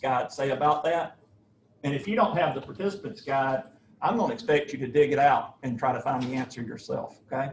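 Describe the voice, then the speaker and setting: Somewhat breathy, a man speaks with a Southern US accent. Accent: Southern US (Georgia). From US South, Georgia. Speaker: professor. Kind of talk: lecture.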